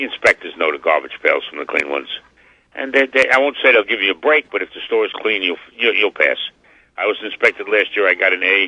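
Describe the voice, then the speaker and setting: A man with a New York accent speaks at a very fast pace. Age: 70s. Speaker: butcher and cabaret singer. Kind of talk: radio interview. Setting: phone call. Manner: animated.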